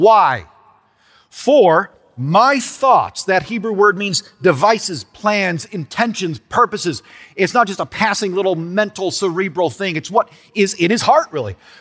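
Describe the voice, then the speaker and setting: Music plays in the background behind a man. He speaks at a high pitch and a fairly slow pace. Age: 40s. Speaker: pastor. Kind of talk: sermon.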